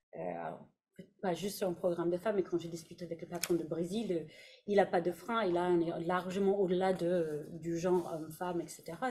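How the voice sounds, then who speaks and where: Her voice is fairly low, somewhat breathy and dark and mellow in tone. The woman keeps a monotone, flat intonation at a moderate pace. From Canada. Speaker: HR director. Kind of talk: panel discussion. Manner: hesitant, many fillers.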